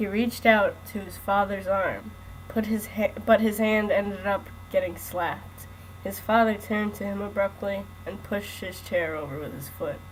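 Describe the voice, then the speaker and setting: A woman speaks at a moderate pace, her loudness swinging widely. Background noise is noticeable throughout. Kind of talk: read story. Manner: joking, can't keep a straight voice.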